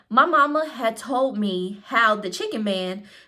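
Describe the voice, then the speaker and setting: Using a put-on character voice in a Southern US accent, a woman drawls at a fairly slow pace and fairly high pitch with ordinary pitch variation, on a very clean recording with a silent background. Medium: read story. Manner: folksy, drawling.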